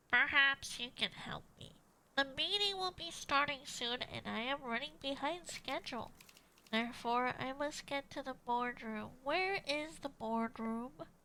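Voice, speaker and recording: In a put-on character voice, a female-sounding speaker talks at a moderate pace, high-pitched and nasal. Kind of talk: stiff, formal.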